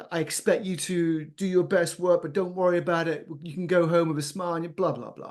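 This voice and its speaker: A man with a British accent speaks at a moderate pace in a high voice. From England. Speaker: business founder and CEO. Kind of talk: podcast interview. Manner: energetic, exuberant.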